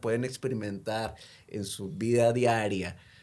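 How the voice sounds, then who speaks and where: Using a plain, everyday voice, a man speaks at medium pitch and a moderate pace. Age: 30s. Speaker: addiction counselor. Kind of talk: casual chat.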